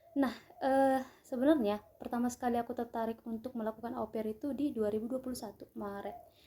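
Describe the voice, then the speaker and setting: The tone is dark and mellow, with fairly even intonation. The pace is fairly quick. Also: woman. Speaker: vlogger, aspiring au pair. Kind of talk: casual vlog storytelling.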